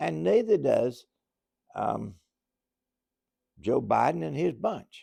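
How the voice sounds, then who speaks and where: Someone with an American accent speaks at a very slow pace, with long, frequent pauses. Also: man. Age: 80s+. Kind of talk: political and religious commentary monologue. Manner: halting with fillers.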